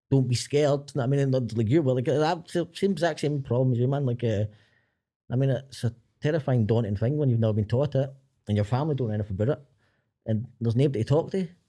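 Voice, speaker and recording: In a Glaswegian accent, a man talks at a very fast pace and medium pitch, his tone dark and mellow. The background is quiet. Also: ordinary pitch variation. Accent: Glaswegian Scottish. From Glasgow, Scotland. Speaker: filmmaker. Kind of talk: casual chat.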